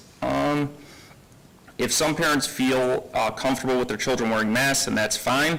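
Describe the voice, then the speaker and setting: Noticeable noise sits in the background. A man speaks over it at a moderate speed. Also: medium pitch for a man. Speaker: parent speaking at public comment. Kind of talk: public comment speech. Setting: school board meeting. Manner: halting, stumbling.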